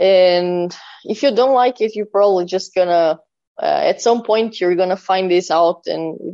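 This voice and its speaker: Speaking at a fairly slow pace with a Portuguese accent, a woman has a dark, mellow tone, a medium pitch and ordinary pitch variation. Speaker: death metal drummer. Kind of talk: interview.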